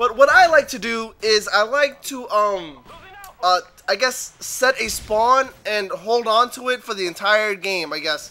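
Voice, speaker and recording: Against noticeable background noise, a man speaks in a raised, projected voice at a high pitch with lively intonation. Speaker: gaming commentator. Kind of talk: gameplay commentary. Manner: fast; loud.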